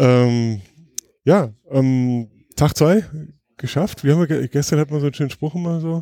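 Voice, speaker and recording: This man's fairly high voice has a dark, mellow tone, moving at a moderate pace with long, frequent pauses in a dry, close sound with no echo. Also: ordinary pitch variation. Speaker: podcast host. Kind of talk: casual chat. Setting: hotel during conference trip.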